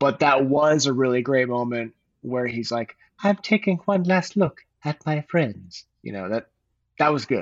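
A man with a fairly high pitch and lively intonation talks at a fairly slow pace. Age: 40s. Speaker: former podcast co-host. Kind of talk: casual chat. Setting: studio. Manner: animated.

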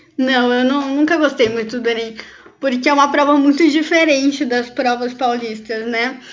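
Her intonation stays fairly even as a woman speaks at a moderate pace. Her high voice comes with audible room echo. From Brazil, Campinas, São Paulo state. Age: 20s. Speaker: obstetrics student. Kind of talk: interview.

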